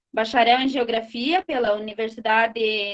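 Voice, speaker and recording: Dry, close sound with no echo, from a woman speaking at a high pitch. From rural Brazil. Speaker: moderator of online course panel. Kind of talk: online panel moderation.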